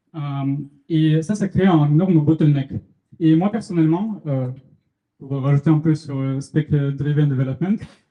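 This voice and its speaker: This man's voice is fairly high-pitched yet dark and mellow, somewhat breathy, with ordinary pitch variation, a fairly slow pace and long, frequent pauses. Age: 20s. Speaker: student startup founder presenting. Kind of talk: meetup tech talk with live demo. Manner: hesitant, many fillers.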